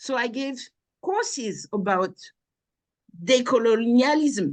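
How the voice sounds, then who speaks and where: A woman speaks at a high pitch in a strong French accent. Her pace is very slow and her intonation lively. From France, Normandy. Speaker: researcher and lecturer. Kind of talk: interview.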